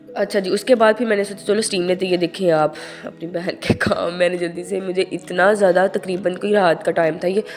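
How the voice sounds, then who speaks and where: A woman speaks with fairly even intonation and hardly any pauses. Music plays in the background. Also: medium pitch for a woman, moderate pace. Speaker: vlogger. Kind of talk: casual vlog talk.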